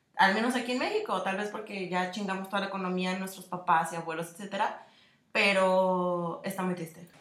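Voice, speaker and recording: A woman's medium-pitched voice at a fairly quick pace, with fairly even intonation and audible room echo. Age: 20s. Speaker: podcast co-host, advertising designer. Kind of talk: casual chat.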